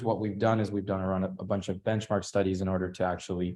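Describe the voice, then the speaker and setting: Against a quiet background, a man talks at a fairly low pitch. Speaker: workshop presenter. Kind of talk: tutorial. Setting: hybrid workshop with in-person and online audience. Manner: fast.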